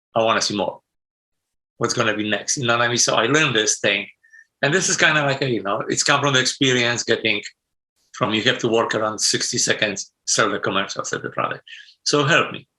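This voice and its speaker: Speaking fairly quickly, a man with a Polish accent has a bright, sharp tone. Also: medium pitch for a man, ordinary pitch variation. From Poland. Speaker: sound designer. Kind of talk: interview. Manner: non-native, broken grammar.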